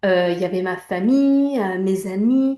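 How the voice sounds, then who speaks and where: A woman with a Spanish accent talks at a fairly slow pace in a dark, mellow tone. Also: quiet background. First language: Spanish (speaking French). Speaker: image coach. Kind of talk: personal testimony. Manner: hesitant, many fillers.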